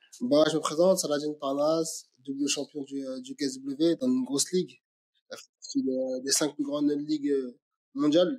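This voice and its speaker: A man with a fairly high pitch speaks at a fairly slow pace, with ordinary pitch variation. He leaves long, frequent pauses. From France, Aubervilliers (Paris suburbs). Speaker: MMA fighter. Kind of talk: interview. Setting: call. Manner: halting, many repetitions and fillers.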